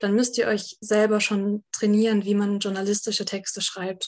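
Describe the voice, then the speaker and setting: Medium pitch from a woman, with monotone, flat intonation. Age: 20s. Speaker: journalism student. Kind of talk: lecture. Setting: video call.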